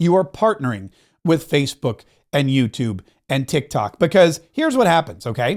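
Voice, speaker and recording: An animated man at a fairly high pitch, moderate pace, very wide pitch swings and long, frequent pauses, on a very clean recording with a silent background. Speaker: marketing coach and content creator. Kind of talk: motivational tutorial talk to camera. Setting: home studio with microphone and camera.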